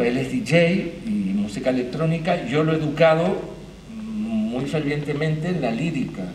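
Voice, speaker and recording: With noticeable background noise and audible room echo, a man speaks at a fairly slow pace with lively intonation. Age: 60s. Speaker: theatre arts manager. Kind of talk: panel talk.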